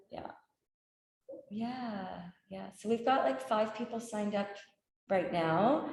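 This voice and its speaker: A woman with a fairly high pitch talks at a very slow pace, with lively intonation, big swings in loudness, long and frequent pauses, and audible room echo. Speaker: yoga teacher trainer. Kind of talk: info session Q&A.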